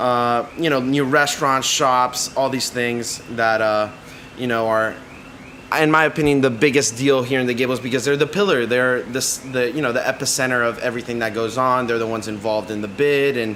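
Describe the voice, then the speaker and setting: A man with a Miami accent speaks at a fairly quick pace over noticeable background noise. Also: medium pitch for a man. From Miami, Florida. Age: 20s. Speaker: podcast host and cigar shop worker. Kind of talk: casual monologue. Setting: cigar shop.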